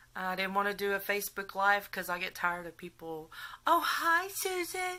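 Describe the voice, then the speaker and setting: A woman with a Texas accent uses a raised, projected voice with a bright, sharp tone, very wide pitch swings and a moderate pace. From Texas, around Houston. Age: 40s. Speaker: patient documenting surgery. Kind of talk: casual vlog storytelling. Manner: chatty, hesitant with many fillers.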